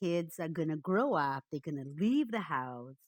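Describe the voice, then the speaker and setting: A woman with a Portuguese accent at a fairly low pitch, in a very clean recording with a silent background and a dry, close sound with no echo. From Brazil, Rio de Janeiro. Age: 60s. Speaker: economist and data visualisation consultant. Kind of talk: interview.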